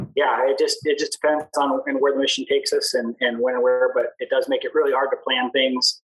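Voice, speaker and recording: A man at a fairly quick pace with hardly any pauses, music in the background. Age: 30s. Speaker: navy aviation rescue swimmer and former motorcycle racer. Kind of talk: casual interview. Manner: halting, many fillers and repetitions.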